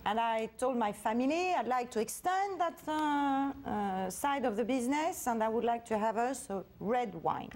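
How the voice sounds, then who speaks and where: With a French accent and hardly any pauses, a woman with a high pitch talks at a moderate pace, her intonation lively and her loudness very even, over noticeable background noise. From France, Paris. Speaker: wine producer, family business heir. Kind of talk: TV interview. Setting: TV studio. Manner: halting, many filler sounds.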